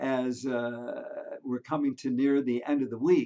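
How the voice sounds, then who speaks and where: Very wide pitch swings mark a man's speech at a very slow pace. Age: 70s. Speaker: priest. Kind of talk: religion class for young children. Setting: video recording for virtual class. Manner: casual, halting with fillers.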